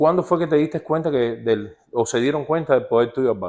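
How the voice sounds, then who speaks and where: With lively intonation and an ordinary speaking voice, a man speaks at a moderate pace against a quiet background. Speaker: baseball show host. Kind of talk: interview.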